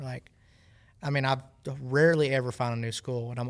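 A man with a Southern US accent speaks at a medium pitch on a very clean recording with a silent background. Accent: US South. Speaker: professional angler. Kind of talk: casual chat.

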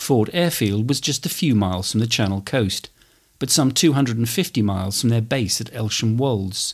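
Using an unremarkable speaking voice, a man speaks at a medium pitch and moderate pace with lively intonation. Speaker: history podcaster and war graves volunteer speaker. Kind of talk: history documentary narration, scripted and read. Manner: measured, formal, solemn.

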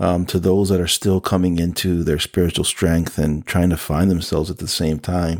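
A man with a New Jersey accent speaks in a very deep, low pitch on a very clean recording with a silent background. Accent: New Jersey American. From New Jersey (Elizabeth). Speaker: podcast host. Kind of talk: testimony.

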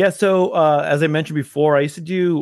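An ordinary speaking voice from a man with an American accent, moderate in pace, with fairly even intonation. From Los Angeles, California. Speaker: photo booth business owner and DJ. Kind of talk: interview. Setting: home shed office. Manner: casual, with frequent fillers.

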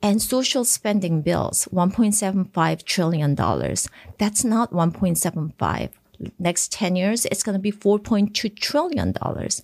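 With a medium pitch and ordinary pitch variation, a woman speaks at a fairly slow pace with vocal fry, the sound dry and close with no echo. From South Korea and Japan. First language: Korean. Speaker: congresswoman. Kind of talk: interview.

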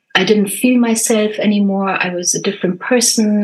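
A woman with an unremarkable speaking voice talks fairly quickly, her medium pitch paired with fairly even intonation. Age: 50s. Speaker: mindset and success coach, podcast host. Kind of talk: casual interview chat. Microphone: not her usual mic, worse sound.

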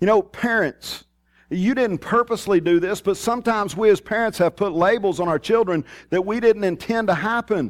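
A man with a strong Texas accent talks in a high voice at a fairly quick pace. The recording is very clean, with a silent background and a dry, close sound with no echo. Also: ordinary pitch variation. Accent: strong rural Texas. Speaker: pastor. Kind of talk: sermon. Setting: church.

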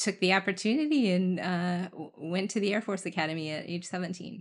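In an ordinary speaking voice, a woman with an American accent speaks at a moderate pace and medium pitch with ordinary pitch variation against a quiet background. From US Midwest (rural Indiana). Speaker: former military officer and engineer. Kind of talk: interview conversation.

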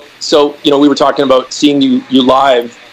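A fairly high-pitched man talks at a moderate pace. Noticeable background noise is present. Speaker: podcast host, musician. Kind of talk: casual chat. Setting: video call.

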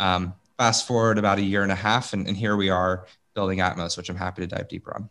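Over a very clean recording with a silent background, a man speaks very fast at a fairly low pitch. His intonation is monotone and flat, his tone bright and sharp. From US Midwest, Columbus, Ohio. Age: 20s. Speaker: startup founder. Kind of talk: interview.

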